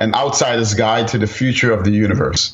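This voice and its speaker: A man speaks fairly quickly with an American accent. His voice is somewhat breathy. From New York, the Bronx. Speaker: physics professor. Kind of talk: interview.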